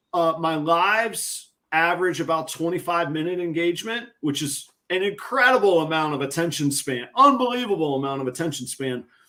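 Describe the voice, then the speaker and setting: Talking at a fairly quick clip with hardly any pauses, a man uses a high, bright, sharp voice in an animated, excited tone. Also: lively intonation. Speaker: ball python breeder and YouTuber. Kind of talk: live stream casual chat.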